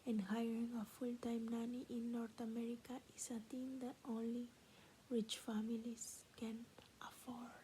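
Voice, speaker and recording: Her intonation monotone and flat, a woman with a Peruvian accent speaks at a fairly slow pace in a fairly high pitch. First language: Spanish. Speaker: ASMR creator. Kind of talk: reading aloud; casual chat. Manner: soft-spoken; halting.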